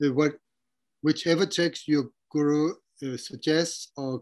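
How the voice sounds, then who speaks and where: A man with a fairly high pitch holds fairly even intonation. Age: 60s. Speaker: Buddhist translator and dharma teacher. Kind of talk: interview Q&A. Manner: halting.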